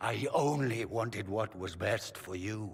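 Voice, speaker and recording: Putting on a raspy character voice, a man talks at a fairly slow pace with a medium pitch. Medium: video game.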